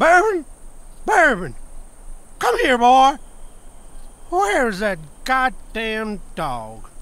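A cartoonish character voice speaks at a fairly high pitch and a very slow pace. Long pauses come frequently. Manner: angry, shouting.

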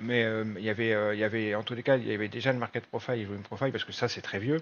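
A man speaks in a plain, everyday voice at a medium pitch with fairly even intonation. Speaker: trading trainer and nurse. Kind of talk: online presentation of a training course. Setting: video call.

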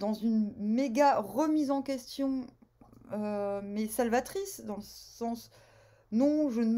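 The woman's tone is dark and mellow, with ordinary pitch variation. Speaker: tarot reader. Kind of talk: casual vlog chat. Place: home room. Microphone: phone near.

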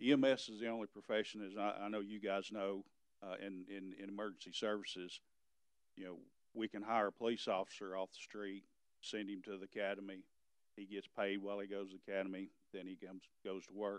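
Against a quiet background, a man speaks at a fairly quick pace with a fairly low pitch and monotone, flat intonation, the sound dry with no echo. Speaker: EMS director giving report. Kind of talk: meeting report. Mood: concerned, frustrated. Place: hall.

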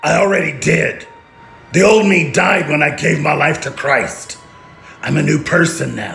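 Put-on character voice from a man, fairly high in pitch, at a moderate pace, with audible echo and music in the background. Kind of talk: scripted drama dialogue. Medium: short film. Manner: earnest, steady. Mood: serene.

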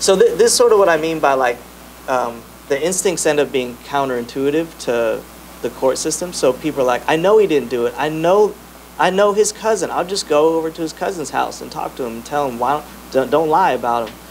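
A man talks at a fairly quick pace over light background noise. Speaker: presenter. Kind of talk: panel answer to audience question. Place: meeting room. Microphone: handheld.

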